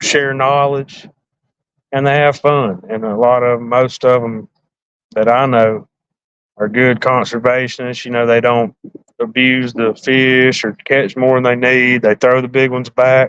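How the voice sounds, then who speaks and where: An Alabama accent at a fairly slow pace, with monotone, flat intonation. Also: man, medium pitch for a man. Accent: Southern US, Alabama. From north central Alabama. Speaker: fishing livestreamer. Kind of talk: casual livestream chat.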